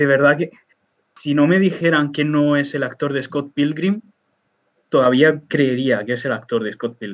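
A man speaks in a normal speaking voice, fairly high-pitched for a man, with ordinary pitch variation. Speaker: podcast co-host. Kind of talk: casual chat. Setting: live stream.

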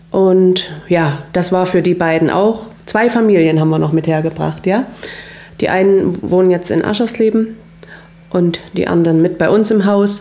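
At medium pitch and a moderate pace, a woman speaks with ordinary pitch variation and very even loudness over noticeable background noise. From Saxony, Großenhain near Dresden. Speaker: hairdresser. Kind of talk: interview.

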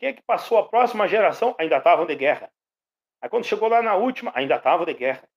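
Speaking at a very fast pace, a man with a high pitch makes very wide pitch swings and big swings in loudness. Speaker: pedagogue and actor. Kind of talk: radio interview.

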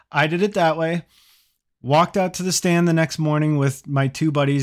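Here is a man with a plain, everyday voice and an American accent. He speaks at a moderate pace with ordinary pitch variation. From US Midwest. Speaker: hunting podcast host. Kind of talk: casual interview.

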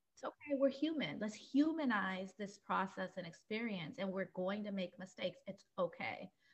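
Somewhat breathy, a woman speaks at a moderate pace. Hardly any pauses interrupt her. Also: medium pitch for a woman, lively intonation. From Puerto Rican heritage. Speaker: podcast host. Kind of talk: interview.

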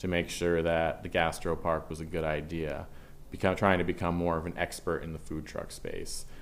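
Speaking at a fairly slow pace, a man uses a very deep, low pitch. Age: 30s. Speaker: restaurant and beer hall co-owner. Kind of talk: casual chat.

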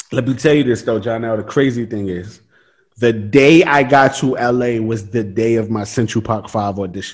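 The speaker has an animated tone and ordinary pitch variation. The pace is moderate. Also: man, medium pitch for a man. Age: 20s. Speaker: podcast host, actor. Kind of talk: casual chat.

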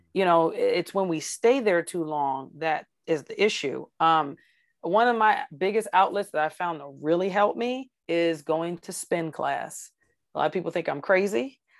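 A woman with an unremarkable speaking voice, fairly low pitch and an American accent, lively intonation at a moderate pace, on a very clean recording with a silent background. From US South (Georgia). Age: 40s. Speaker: retired police officer. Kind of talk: interview testimony.

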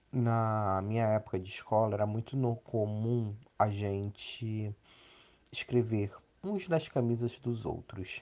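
Against a quiet background, a dark, mellow voice speaks very slowly with fairly even intonation. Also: man, medium pitch for a man. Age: 30s. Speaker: interviewee, psychology-related. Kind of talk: interview testimony.

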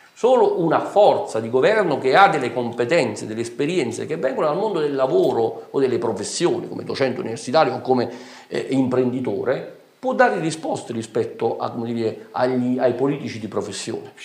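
With noticeable background noise and audible room echo, a man speaks at a fairly quick pace. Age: 40s. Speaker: politician, town mayor. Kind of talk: political talk show interview.

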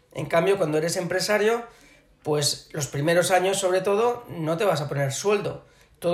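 The room gives off audible echo. The voice belongs to a man. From Barcelona, Catalonia. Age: 40s. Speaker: business executive. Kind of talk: interview. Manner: hesitant, many fillers.

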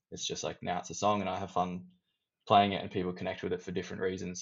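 A fairly low-voiced man with an Australian accent. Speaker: band member. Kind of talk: casual interview chat.

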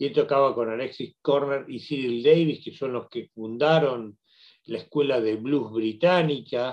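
A man with an ordinary speaking voice, medium pitch and ordinary pitch variation, fairly slow pace, and big swings in loudness. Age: 50s. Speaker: radio host. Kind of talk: solo radio commentary.

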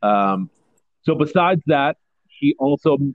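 A man with a medium-pitched voice talks at a fairly slow pace, his pitch swinging very widely. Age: 30s. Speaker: podcast host. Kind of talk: casual banter, comedic sports podcast.

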